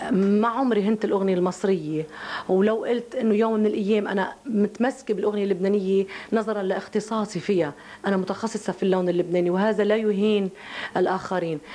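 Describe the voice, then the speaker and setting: In a Lebanese accent, a woman talks at a moderate pace with fairly even intonation and very even loudness. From Lebanon. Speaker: singer. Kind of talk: interview answer. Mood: defensive, earnest, explaining herself. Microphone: handheld.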